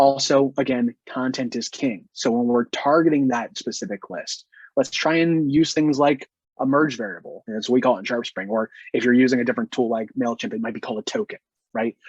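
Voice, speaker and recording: The pace is fairly quick, with ordinary pitch variation. The sound is dry and close, with no echo. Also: man, medium pitch for a man. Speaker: marketing software sales engineer. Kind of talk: webinar presentation. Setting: online webinar. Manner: fast.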